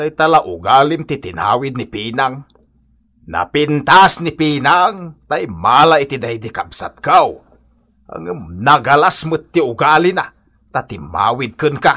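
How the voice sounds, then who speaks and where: Using a put-on character voice, a man speaks fairly slowly at a fairly high pitch, with very wide pitch swings. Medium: audio drama. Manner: chiding, blunt.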